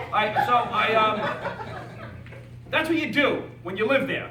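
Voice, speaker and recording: An animated man with a high pitch uses lively intonation and a raised, projected voice. Audible room echo and noticeable background noise surround him. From Staten Island, New York. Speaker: network marketing speaker, retired firefighter. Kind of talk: motivational speech to live audience. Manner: animated, fast, repetitive stammering.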